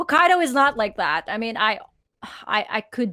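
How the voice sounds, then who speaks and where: On a very clean recording with a silent background, a woman speaks with a Filipino accent. Her voice is high-pitched, with a bright, sharp tone. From Philippines. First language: Tagalog. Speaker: podcast co-host. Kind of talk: casual chat. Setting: live stream.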